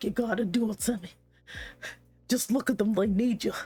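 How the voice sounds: A female-sounding, put-on character voice, fairly high in pitch, goes at a fairly quick pace over music in the background.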